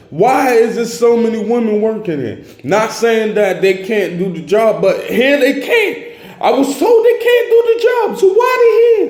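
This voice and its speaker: With audible room echo and noticeable background noise, a man speaks in an animated tone at a fairly slow pace. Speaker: vlogger. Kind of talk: casual monologue vlog. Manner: loud.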